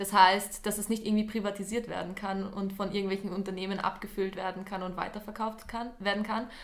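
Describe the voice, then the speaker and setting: A woman at a fairly quick pace and medium pitch, monotone, flat intonation, hardly any pauses, and noticeable background noise. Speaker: youth climate podcast co-host, environmental volunteer. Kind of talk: casual podcast conversation.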